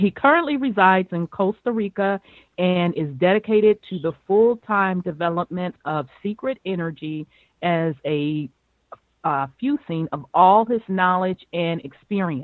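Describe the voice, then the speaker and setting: In a normal speaking voice, a woman with medium pitch and lively intonation talks at a fairly slow pace. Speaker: radio host. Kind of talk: interview. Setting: phone call.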